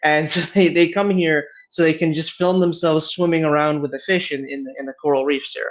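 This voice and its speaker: A man with an American accent talks at a fairly quick pace, his fairly high pitch held in fairly even intonation. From Michigan, US Midwest. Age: 20s. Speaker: company founder. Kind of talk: interview. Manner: halting, repeats words.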